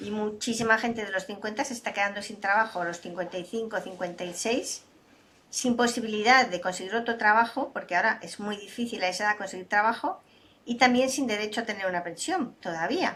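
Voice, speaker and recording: A woman talks at a fairly quick pace with a fairly high pitch. She has a plain, everyday voice with ordinary pitch variation. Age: 60s. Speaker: data and AI expert, speaker. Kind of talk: interview conversation.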